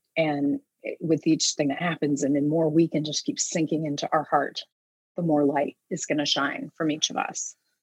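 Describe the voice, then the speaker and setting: A woman speaks at a moderate pace in a very deep, low voice with flat, monotone intonation. The sound is dry and close, with no echo. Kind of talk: guided meditation.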